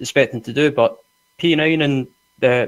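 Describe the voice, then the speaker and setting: A man speaks with a Scottish accent. His pace is moderate and his intonation fairly even. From Scotland. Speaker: sim racing driver. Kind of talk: post-race interview.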